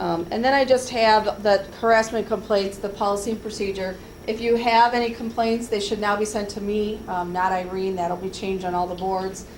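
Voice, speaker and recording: A woman of medium pitch talks with hardly any pauses and fairly even intonation. Noticeable background noise and audible room echo are present. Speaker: HR trainer. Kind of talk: workplace training presentation. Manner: fast.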